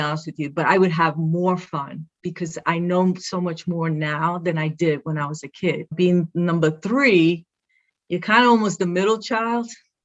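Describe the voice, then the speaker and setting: With a Brooklyn accent, a woman speaks in a fairly low-pitched voice. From Brooklyn, New York. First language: Spanish. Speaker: athletic director. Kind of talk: interview. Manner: animated.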